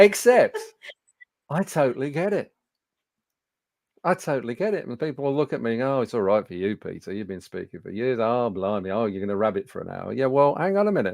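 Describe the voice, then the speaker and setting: Very fast speech with very wide pitch swings over a quiet background. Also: man, medium pitch for a man. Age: 60s. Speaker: business speaking coach. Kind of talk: webinar presentation. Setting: studio. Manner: conversational with frequent fillers.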